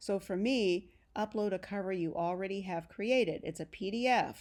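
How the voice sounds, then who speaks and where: On a very clean recording with a silent background, a woman with an unremarkable speaking voice talks at a moderate pace, medium pitch and ordinary pitch variation. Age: 60s. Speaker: genealogy author and instructor. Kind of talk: tutorial. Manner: casual, encouraging.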